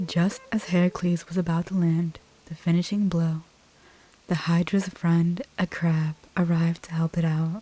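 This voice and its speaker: Soft-spoken and relaxed in tone, the speaker moves at a moderate pace over noticeable background noise. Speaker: ASMR gaming YouTuber. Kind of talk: reading in-game story dialogue aloud. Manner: soft-spoken, relaxed.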